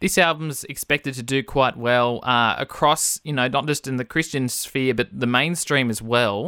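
With an Australian accent, a man talks at a moderate pace with hardly any pauses, medium pitch, ordinary pitch variation and a bright, sharp tone, in a very clean, dry, close recording with a silent background and no echo. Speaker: radio host. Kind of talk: radio interview. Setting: radio studio.

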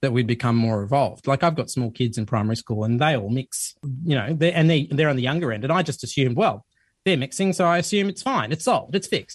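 A man speaks at a fairly high pitch, somewhat breathy, with lively intonation. The background is quiet. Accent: Australian. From Sydney, Australia. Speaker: journalist and documentary host. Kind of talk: radio interview.

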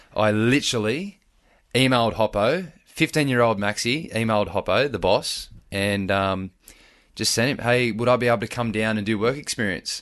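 With an Australian accent, a man speaks against a quiet background. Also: medium pitch for a man, ordinary pitch variation, moderate pace. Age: 20s. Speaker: firefighter and lifeguard. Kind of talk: casual interview.

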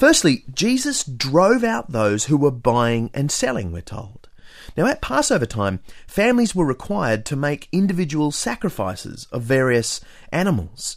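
Speaking with an Australian accent, a man with a fairly high pitch talks at a moderate pace with very wide pitch swings on a very clean recording with a silent background. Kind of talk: scripted narration.

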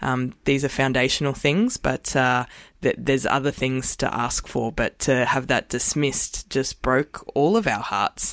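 An Australian accent with ordinary pitch variation in a dry, close sound with no echo. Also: woman, very deep, low pitch for a woman, fairly slow pace. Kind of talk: radio panel interview. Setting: studio.

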